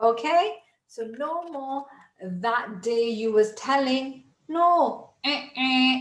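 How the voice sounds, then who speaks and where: A woman with a British accent, high-pitched and upbeat, at a very slow pace with ordinary pitch variation. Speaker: English tutor. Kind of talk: English lesson to camera.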